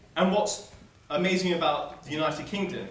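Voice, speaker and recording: A man speaks at a moderate pace. Audible room echo follows his voice. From South Africa. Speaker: student debater. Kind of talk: debate speech. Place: hall. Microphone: camera far.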